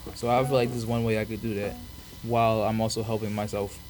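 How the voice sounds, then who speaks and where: With a Philadelphia accent, a man speaks at a medium pitch and a fairly quick pace over noticeable background noise. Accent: Philadelphia American English. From Philadelphia, US (born in Africa). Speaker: college student podcast host. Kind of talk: casual solo podcast monologue. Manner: casual, halting with fillers.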